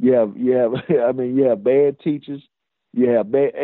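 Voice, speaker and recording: A man with a Mississippi accent at a fairly quick pace. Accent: US Southern (Mississippi). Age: 40s. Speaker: high school basketball coach. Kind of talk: casual sports interview. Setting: phone call.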